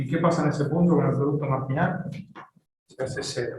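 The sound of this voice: With strong room echo, a man talks at a fairly quick pace in a slightly mellow tone, medium pitch and ordinary pitch variation.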